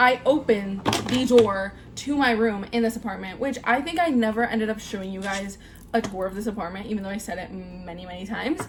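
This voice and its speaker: Over noticeable background noise, a woman with a fairly high pitch speaks at a fairly quick pace in an animated tone, with ordinary pitch variation and big swings in loudness. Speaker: vlogger. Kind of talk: casual chat. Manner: halting.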